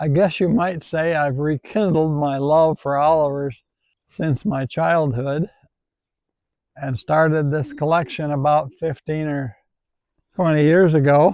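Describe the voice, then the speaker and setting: A fairly high-pitched man with an Upper Midwest accent speaks in fairly even intonation, leaving long, frequent pauses. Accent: Upper Midwest rural. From Wisconsin, rural southwest. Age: 80s. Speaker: retired farmer and tractor collector. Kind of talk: casual interview reminiscence. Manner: halting.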